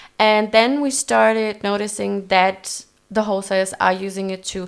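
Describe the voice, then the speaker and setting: Woman with a non-native accent, medium pitch and fairly even intonation, in a very clean recording over a silent background. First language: not English. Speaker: fashion creative director. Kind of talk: casual interview.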